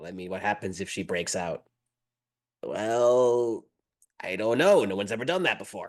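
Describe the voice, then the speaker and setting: Putting on a raspy character voice at a medium pitch, a man speaks at a moderate pace with long, frequent pauses. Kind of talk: comic gremlin voices. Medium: actual play. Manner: fast, chattering, overlapping.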